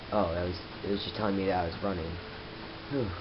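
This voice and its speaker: Noticeable background noise sits behind a man's voice. He speaks at a fairly low pitch with fairly even intonation. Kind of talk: casual gameplay commentary. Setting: camera microphone.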